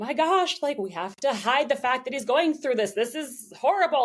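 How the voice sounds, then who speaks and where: Noticeable background noise sits behind the speaker. A woman talks at a very fast pace. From Vancouver, western Canada. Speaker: opera singer. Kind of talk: interview. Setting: podcast interview. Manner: animated.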